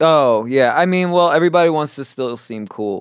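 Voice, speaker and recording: With a New York accent, a man talks at a fairly quick pace and with lively intonation. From New York, Queens. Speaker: comedian. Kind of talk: casual chat.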